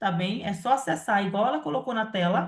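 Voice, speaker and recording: A somewhat breathy woman speaks at a moderate pace and medium pitch with lively intonation. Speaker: live session host and moderator. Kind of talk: live Q&A and event announcements. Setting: live stream.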